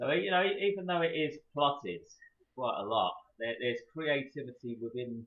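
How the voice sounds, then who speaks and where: A man's fairly high voice in a London accent, with lively intonation. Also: moderate pace. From London, England. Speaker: horror and sci-fi author. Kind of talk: casual interview chat.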